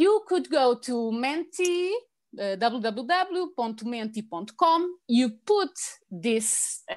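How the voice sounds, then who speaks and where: A woman with a Portuguese accent, high in pitch, with very wide pitch swings and a very slow pace. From Portugal, Lisbon. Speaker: language lecturer. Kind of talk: virtual presentation. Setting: video call from home. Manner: halting.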